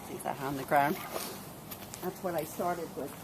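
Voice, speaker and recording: A woman talks while noticeable noise carries on in the background. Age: 60s. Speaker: cemetery volunteer. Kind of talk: casual talk to camera.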